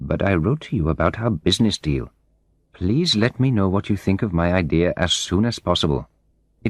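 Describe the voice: The speaker does plain reading aloud.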